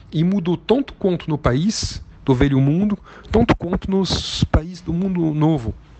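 With noticeable background noise behind him, a man speaks fairly slowly at a high pitch. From southern France. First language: French (speaking Portuguese). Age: 50. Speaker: business executive and investor. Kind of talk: interview talk. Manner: halting, with many fillers.

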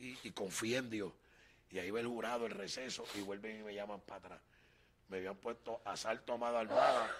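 At a moderate pace, a man talks in a flat monotone at a medium pitch, with big swings in loudness. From Puerto Rico, Loíza. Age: 40s. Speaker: evangelist. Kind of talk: testimony.

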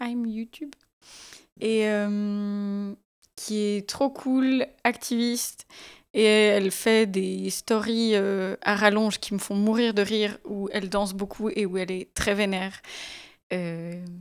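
Very slow pace and fairly even intonation from a woman at a medium pitch. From Switzerland, Valais. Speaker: podcast host. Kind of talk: casual chat. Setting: radio studio.

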